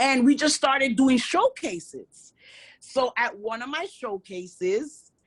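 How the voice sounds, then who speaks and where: A woman's high voice with a New York accent, fairly slow, with very wide pitch swings. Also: dry, close sound with no echo. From New York, Brooklyn. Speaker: hip hop artist. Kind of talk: interview. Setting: nightclub.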